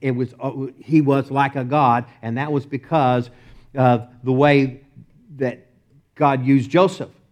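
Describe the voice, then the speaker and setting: Speaking in a Texas accent, a man talks at a fairly slow pace in a fairly high voice with fairly even intonation. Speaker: preacher. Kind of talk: sermon.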